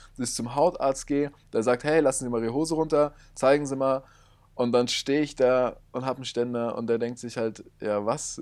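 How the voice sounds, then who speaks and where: With fairly even intonation and a medium pitch, a man talks at a moderate pace in a normal speaking voice. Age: 20s. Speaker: podcast co-host. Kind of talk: casual chat. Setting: in person, same room.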